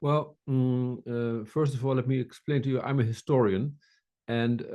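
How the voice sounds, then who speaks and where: Speaking at a fairly slow pace, a man with a Dutch accent has a dark, mellow tone. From Netherlands. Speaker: military historian. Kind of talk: lecture-style colloquium. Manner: hesitant, repeating words.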